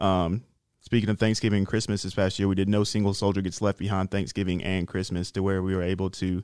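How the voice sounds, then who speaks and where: Very fast and flat, a man talks in a monotone at a very deep, low pitch. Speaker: soldier program representative. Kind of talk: casual chat.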